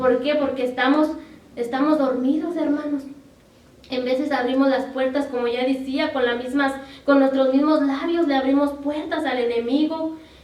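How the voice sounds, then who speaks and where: Flat, monotone intonation comes at a moderate pace, with audible room echo. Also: woman, high pitch for a woman. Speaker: preacher. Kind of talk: sermon.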